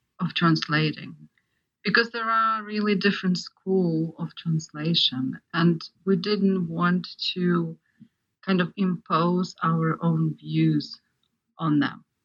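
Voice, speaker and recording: A woman's fairly low voice at a very slow pace, with fairly even intonation. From Ukraine. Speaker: art historian and translator. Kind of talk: interview discussion.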